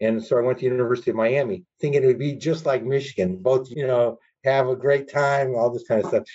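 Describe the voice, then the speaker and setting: A man's somewhat breathy, medium-pitched voice at a very fast pace, with fairly even intonation. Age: 60s. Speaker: lawyer. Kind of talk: interview.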